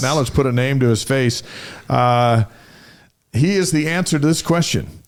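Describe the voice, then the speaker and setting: This man has an unremarkable speaking voice, pitched in the middle range. He talks at a moderate pace with ordinary pitch variation. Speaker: sports show host. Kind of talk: talk show host introduction.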